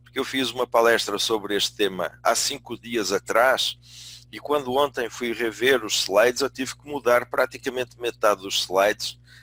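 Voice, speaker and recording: At a moderate pace, a man speaks with a bright, sharp tone and fairly even intonation. His loudness swings widely, and the sound is dry and close with no echo. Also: medium pitch for a man. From Portugal. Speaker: business school dean and management consultant. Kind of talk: webinar lecture. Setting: online webinar. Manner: hesitant, with many fillers.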